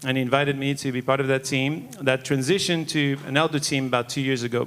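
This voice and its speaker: A man with a French accent, fairly high in pitch, at a fairly quick pace. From Monaco, French Riviera. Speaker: church elder. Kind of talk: testimony.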